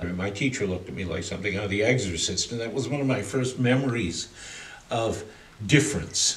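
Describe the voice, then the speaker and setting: A man speaks at a fairly quick pace, his pitch fairly low with ordinary variation. Audible room echo and noticeable background noise come through. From Canada, Toronto. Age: 60s. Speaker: arts curator and artist manager. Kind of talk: interview monologue, life story.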